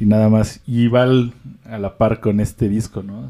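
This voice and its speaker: A man speaks with a Mexican accent at a fairly low pitch. His tone is dark and mellow, with ordinary pitch variation. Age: 20s. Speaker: music podcast co-host. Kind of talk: casual chat.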